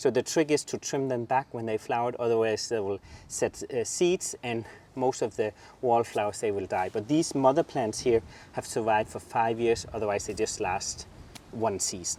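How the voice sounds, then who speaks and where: A man talks in a dark, mellow tone at a medium pitch. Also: ordinary pitch variation, moderate pace. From southern Jutland, Denmark. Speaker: gardener, garden channel host. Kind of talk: garden tour, casual chat. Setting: outdoors in garden.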